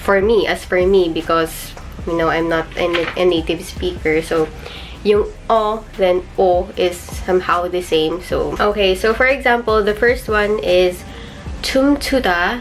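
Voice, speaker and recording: The speaker has a Filipino accent. Noticeable background noise runs behind the voice. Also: woman, medium pitch for a woman, ordinary pitch variation, fairly slow pace. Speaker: YouTuber, language learner. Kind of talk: tutorial vlog. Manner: casual, hesitant with fillers.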